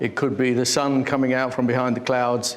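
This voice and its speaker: A man with an English accent talks at a moderate pace and medium pitch, with noticeable background noise and audible room echo. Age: 70s. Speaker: artist. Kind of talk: interview.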